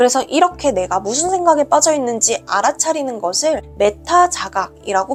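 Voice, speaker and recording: Amid noticeable background noise, a woman speaks at a moderate pace. Her high pitch swings very widely. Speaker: book reviewer. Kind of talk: book review narration.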